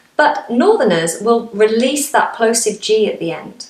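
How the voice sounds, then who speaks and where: In a room with audible echo and noticeable background noise, a woman speaks at a moderate pace with lively intonation. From northern England, Manchester (Lancashire). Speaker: English teacher. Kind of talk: tutorial. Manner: clear, demonstrative.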